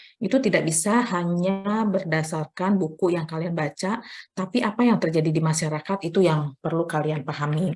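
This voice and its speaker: At a fairly quick pace, a woman with fairly low pitch speaks in a somewhat breathy voice with ordinary pitch variation. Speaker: nursing lecturer. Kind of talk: lecture. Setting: online class from library. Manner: soft-spoken; hesitant with fillers.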